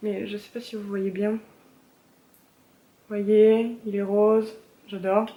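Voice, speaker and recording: A woman speaks with a fairly high pitch. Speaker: beauty vlogger. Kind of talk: casual haul video chat. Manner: hesitant with many fillers.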